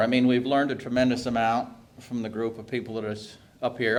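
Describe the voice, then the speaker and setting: Here a man speaks with an unremarkable speaking voice at a medium pitch. His pace is fairly quick. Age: 60s. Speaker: hog farmer. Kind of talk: speech at a policy briefing.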